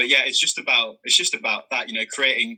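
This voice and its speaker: A man with a Birmingham accent. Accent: Brummie. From Birmingham, England. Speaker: content creator. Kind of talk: interview. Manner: halting.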